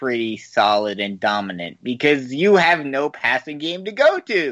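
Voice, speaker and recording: A fairly slow delivery on a very clean recording with a silent background. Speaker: podcast co-host. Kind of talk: casual sports banter.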